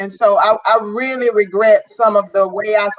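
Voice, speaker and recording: The woman speaks at a fairly slow pace. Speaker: guest mother. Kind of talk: casual chat. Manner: loud.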